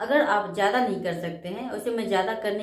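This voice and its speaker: A woman speaks at a moderate pace with ordinary pitch variation, amid noticeable background noise and audible room echo. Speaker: spiritual self-help vlogger. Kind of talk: motivational talk.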